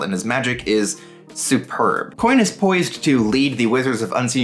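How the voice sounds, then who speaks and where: A man's intonation rises and falls in a lively way while music plays behind him. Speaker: book reviewer. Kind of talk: book summary and review.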